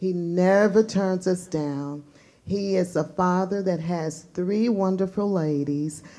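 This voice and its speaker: Delivered at a very slow pace, the dark, mellow tone keeps a fairly even intonation. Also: woman. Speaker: school chapel host. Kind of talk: speaker introduction. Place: hall. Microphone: camera far.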